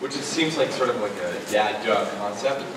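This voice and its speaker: A man is speaking with audible room echo. Noticeable background noise runs underneath. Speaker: speaker. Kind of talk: public talk. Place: stage.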